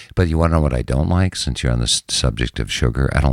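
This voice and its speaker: Very fast speech with vocal fry and an American accent. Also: man, very clean recording, silent background. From Minnesota, Minneapolis. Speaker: TV news anchor. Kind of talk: casual interview.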